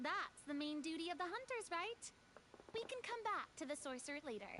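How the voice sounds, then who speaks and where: A female-sounding voice takes on a put-on character voice at an extremely high pitch. Clear background noise runs underneath. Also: moderate pace. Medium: video game.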